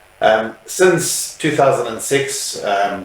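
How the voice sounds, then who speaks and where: A man at a very slow pace, with noticeable background noise and audible room echo. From South Africa. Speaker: funeral services business owner. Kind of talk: interview. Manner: hesitant, many fillers.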